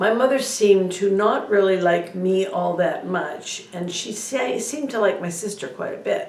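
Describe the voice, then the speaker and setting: With audible room echo and noticeable background noise, a woman talks at a fairly slow pace, medium in pitch with lively intonation. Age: 60s. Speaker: spiritual video blogger. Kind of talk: personal monologue. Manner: hesitant, many fillers.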